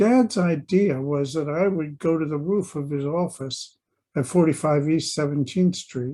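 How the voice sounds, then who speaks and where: A dark, mellow voice with an American accent comes through over a quiet background. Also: man. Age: 80s+. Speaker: memoirist. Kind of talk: reading aloud.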